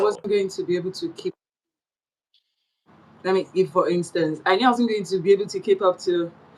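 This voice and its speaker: The speech moves at a fairly quick pace but is broken by long, frequent pauses. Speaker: broadcaster. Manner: same voice on and off air.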